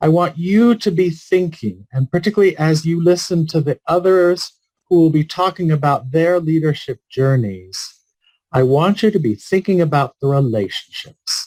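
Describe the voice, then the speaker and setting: Using an ordinary speaking voice, a man with a fairly high pitch talks at a moderate pace with lively intonation and very even loudness, in a dry, close sound with no echo. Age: 60s. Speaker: palliative care physician. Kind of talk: keynote speech.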